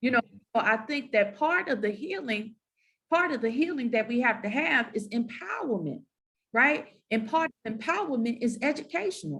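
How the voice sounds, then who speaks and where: Speaking at a moderate pace in a Southern accent, a woman has a fairly high pitch and lively intonation. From US South. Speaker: moderator, university academic. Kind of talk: panel discussion.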